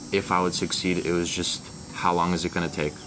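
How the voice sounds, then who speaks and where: Music plays in the background as a man with an American accent speaks in a very deep, low voice. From US South. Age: 20s. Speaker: young entrepreneur. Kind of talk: motivational interview. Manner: animated.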